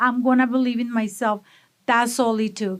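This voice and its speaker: A woman speaks at a high pitch in a strong Mexican accent. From Mexico, Monterrey. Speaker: food business owner. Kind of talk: interview. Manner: energetic.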